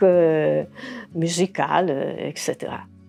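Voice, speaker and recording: Over noticeable background noise, a woman is heard. She speaks at a very slow pace. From Aosta Valley, Italy. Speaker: retired educator. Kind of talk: interview. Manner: halting, many fillers.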